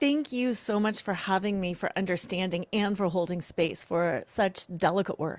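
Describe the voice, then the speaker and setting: Speaking at a moderate pace with hardly any pauses, a woman uses a normal speaking voice at medium pitch with ordinary pitch variation. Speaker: attorney and betrayal recovery therapist. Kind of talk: interview.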